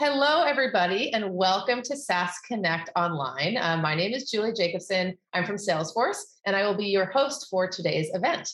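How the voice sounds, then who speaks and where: A woman's normal speaking voice at medium pitch, moderate pace and with lively intonation. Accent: American. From United States. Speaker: event host. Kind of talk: webinar interview. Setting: online event.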